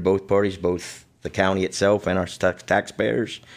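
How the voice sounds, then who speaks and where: A man with a plain, everyday voice speaks at a moderate pace and fairly low pitch over a quiet background. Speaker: guest. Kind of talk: interview answer. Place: studio.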